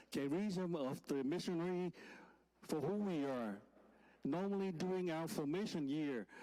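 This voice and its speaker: A man with a Vietnamese accent, his tone dark and mellow, at a fairly slow pace. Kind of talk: homily. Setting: church during Mass.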